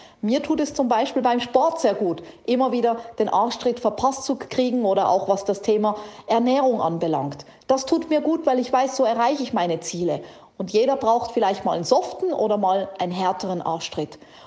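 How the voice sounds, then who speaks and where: A woman speaks in an animated, energetic tone at a fairly high pitch with lively intonation, over noticeable background noise. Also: moderate pace. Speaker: podcast host and keynote speaker. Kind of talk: pep talk, motivational direct address.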